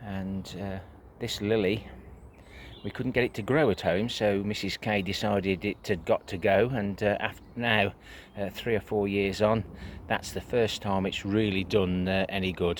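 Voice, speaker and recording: Speaking in an English accent, a man uses a fairly low pitch at a fairly slow pace. He leaves long, frequent pauses. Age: 60s. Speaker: allotment gardener. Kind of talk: casual video tour. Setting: outdoors at allotment. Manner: hesitant, many fillers.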